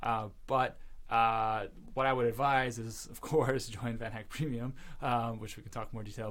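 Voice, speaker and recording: Audible room echo surrounds this man's voice. He speaks at a medium pitch with fairly even intonation. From western Canada, Vancouver. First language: Russian. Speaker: startup founder. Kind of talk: podcast interview. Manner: casual, many fillers.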